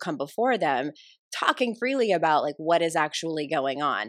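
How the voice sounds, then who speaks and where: A woman's fairly low, ordinary speaking voice, with lively intonation at a moderate pace over a quiet background. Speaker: author and life coach. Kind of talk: casual interview conversation.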